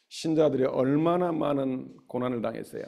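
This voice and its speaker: A man's dark, mellow tone at a fairly high pitch, moderate pace and fairly even intonation. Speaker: pastor. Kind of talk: sermon.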